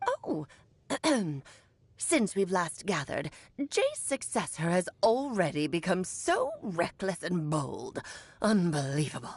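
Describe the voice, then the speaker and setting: A woman puts on a character voice at a medium pitch. She speaks at a fairly slow pace with long, frequent pauses. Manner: imperious, scornful.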